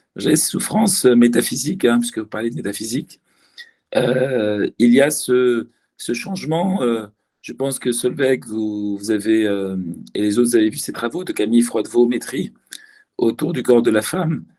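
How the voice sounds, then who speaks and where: A man's dark, mellow tone with lively intonation. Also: medium pitch for a man, fairly slow pace. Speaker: academic guest speaker. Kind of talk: seminar discussion. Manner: hesitant, many fillers.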